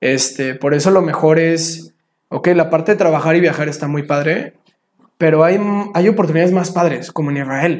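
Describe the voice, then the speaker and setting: Here is a man with an ordinary speaking voice and a fairly high pitch. He keeps a moderate pace and fairly even intonation. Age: 20s. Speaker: traveler and photographer. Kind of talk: casual interview chat.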